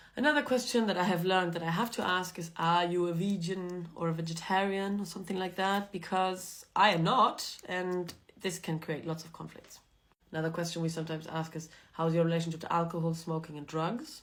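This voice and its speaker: Speaking fairly quickly with a German accent, a woman with a fairly low voice shows ordinary pitch variation and big swings in loudness, with audible room echo. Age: young. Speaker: vlogger. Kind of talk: casual monologue to camera.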